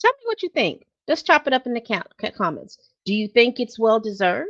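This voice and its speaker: A woman speaks at a fairly quick pace in a plain, everyday voice, her fairly high pitch carried by lively intonation, with a dry, close sound and no echo. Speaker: celebrity news commentator. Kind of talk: casual vlog commentary.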